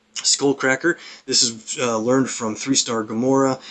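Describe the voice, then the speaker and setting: A man speaks at a fairly quick pace. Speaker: gaming streamer. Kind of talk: gameplay commentary. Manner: fast.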